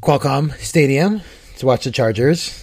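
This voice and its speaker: A man speaks with a somewhat breathy voice. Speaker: podcast host. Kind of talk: casual banter, comedic podcast. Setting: remote recording from Seattle.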